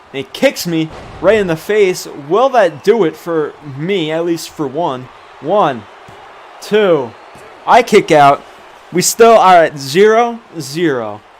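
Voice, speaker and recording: Noticeable background noise sits behind a high-pitched man speaking at a very slow pace. His intonation is lively, broken by long, frequent pauses. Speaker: gaming streamer. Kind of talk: live commentary. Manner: animated.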